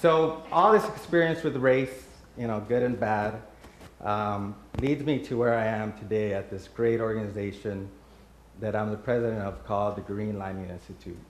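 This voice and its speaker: A man with an American accent, fairly low pitch and ordinary pitch variation, at a moderate pace with audible room echo. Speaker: nonprofit president, panel speaker. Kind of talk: personal talk at community event.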